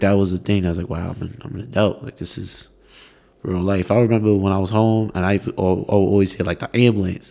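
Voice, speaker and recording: A man with a fairly low voice talks at a fairly quick pace, his loudness swinging widely. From New York. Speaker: student podcast host. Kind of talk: casual interview chat. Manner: animated.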